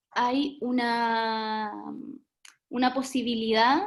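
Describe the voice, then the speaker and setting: This woman's fairly high voice moves with ordinary pitch variation. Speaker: webinar moderator, early childhood professional. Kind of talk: online talk moderation. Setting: video call. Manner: soft-spoken.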